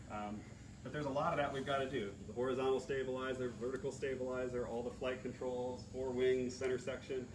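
A man talks very fast in a flat monotone. Noticeable background noise sits behind him. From US Midwest, central Illinois. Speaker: restoration project lead, aircraft owner; presenter. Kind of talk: panel discussion.

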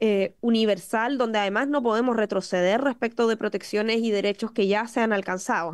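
Against a quiet background, a woman talks at a fairly quick pace with fairly even intonation. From Chile. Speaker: government minister. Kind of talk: formal parliamentary testimony. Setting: parliamentary committee room. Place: meeting room. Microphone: podium.

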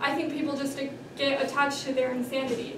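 There is noticeable background noise and audible room echo. A woman talks at a fairly quick pace in a high pitch. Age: young. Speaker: author. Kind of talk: reading aloud. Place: hall. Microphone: camera far.

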